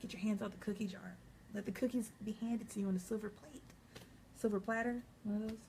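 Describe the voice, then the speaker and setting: A woman speaks in a monotone with flat intonation. Her voice is somewhat breathy. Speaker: psychic reader. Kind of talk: vlog monologue.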